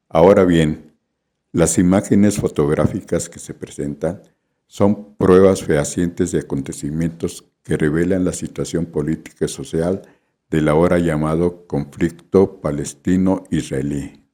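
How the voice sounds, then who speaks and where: A very deep, low male voice with a dark, mellow tone, fairly even intonation, a fairly slow pace and big swings in loudness. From Mexico City. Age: 70s. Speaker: photojournalist. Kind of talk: scripted narration.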